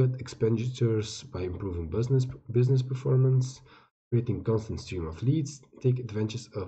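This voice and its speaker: A man with a somewhat breathy voice talks at a moderate speed, his pitch varying in an ordinary way. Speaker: crypto YouTuber reviewing token sales. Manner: halting, many fillers and restarts.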